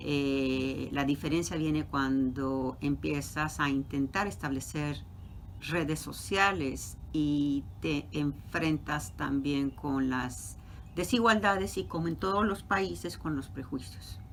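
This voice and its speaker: Speaking at a very slow pace, a woman uses lively intonation in a very deep, low pitch. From Mexico City. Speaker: professor. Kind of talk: interview.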